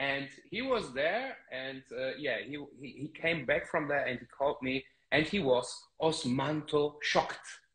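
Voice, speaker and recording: A man with a German accent, fairly high in pitch, at a fairly slow pace with ordinary pitch variation. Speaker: fragrance channel host. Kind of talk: live stream interview. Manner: halting.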